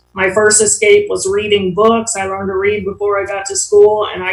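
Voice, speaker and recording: Over noticeable background noise, a woman with an American accent speaks at a moderate pace in a monotone, flat intonation. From Ohio, US Midwest. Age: 60s. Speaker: AA speaker. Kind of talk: recovery testimony. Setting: online meeting. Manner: casual, with many fillers.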